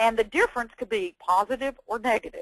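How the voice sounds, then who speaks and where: A woman with a Texan accent speaks at a fairly high pitch with very wide pitch swings, in a dry, close sound with no echo. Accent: Texan Southern. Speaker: education presenter and former teacher. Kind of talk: webinar presentation. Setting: online webinar. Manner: enthusiastic.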